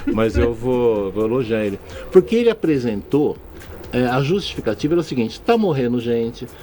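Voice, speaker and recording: A man speaks at a moderate pace in an ordinary speaking voice. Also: medium pitch for a man, lively intonation. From São Paulo state, Brazil. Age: 60s. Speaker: state politician. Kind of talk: radio interview. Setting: radio studio.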